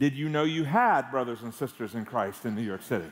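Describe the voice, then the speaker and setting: A man speaks against a quiet background. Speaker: guest preacher. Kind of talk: sermon. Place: church. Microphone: headset.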